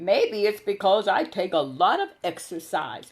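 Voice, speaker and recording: A put-on character voice at a middle pitch, sounding female. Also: moderate pace. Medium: read story. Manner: smooth, sly.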